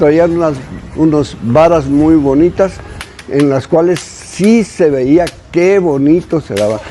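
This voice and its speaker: Noticeable background noise sits behind a man with a fairly high voice. He speaks at a very slow pace with ordinary pitch variation. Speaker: elderly local resident. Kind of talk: interview recollection. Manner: halting.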